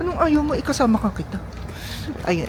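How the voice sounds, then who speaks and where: Amid audible room echo and noticeable background noise, a woman talks at a moderate pace. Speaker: travel vlogger. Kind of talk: casual vlog narration. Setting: outdoors. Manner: animated; halting.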